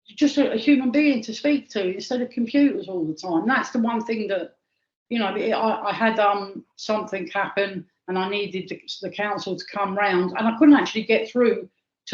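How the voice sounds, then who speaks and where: A woman talks at a fairly quick pace in a fairly high pitch. Her voice is somewhat breathy, with ordinary pitch variation. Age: 60s. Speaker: archaeologist. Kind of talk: interview.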